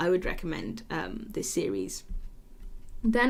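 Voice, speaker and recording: A woman speaks at a moderate pace with vocal fry. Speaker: anime podcast host. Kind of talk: casual podcast monologue. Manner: animated.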